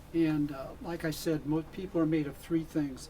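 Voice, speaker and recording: A man's fairly high-pitched voice, monotone and flat, over noticeable background noise. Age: 70s. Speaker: licensed professional counselor. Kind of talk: radio interview.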